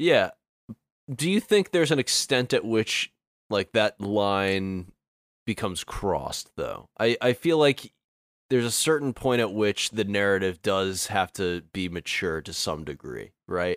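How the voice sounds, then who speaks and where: An ordinary speaking voice from a man, fairly low-pitched, with lively intonation at a fairly slow pace, dry and close with no echo, on a very clean recording with a silent background. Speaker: guest co-reviewer. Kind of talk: casual chat about a movie review.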